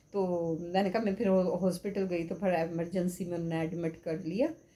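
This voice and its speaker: Her pace is moderate. The woman's voice has a dark, mellow tone. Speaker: vlogger. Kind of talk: casual vlog monologue.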